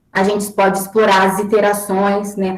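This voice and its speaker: Monotone, flat delivery at a moderate pace over noticeable background noise. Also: woman. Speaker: mathematics education researcher giving a talk. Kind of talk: online lecture presentation. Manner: halting, with self-corrections.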